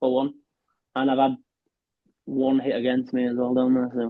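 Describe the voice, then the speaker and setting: A man with a Yorkshire accent and a medium-pitched voice speaks at a moderate pace. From West Yorkshire, Castleford. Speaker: professional darts player. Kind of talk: podcast interview.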